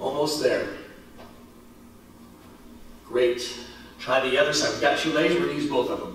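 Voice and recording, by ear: A man talks at a fairly slow pace with a medium pitch and a fairly bright tone. Strong room echo surrounds his voice. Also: fairly even intonation.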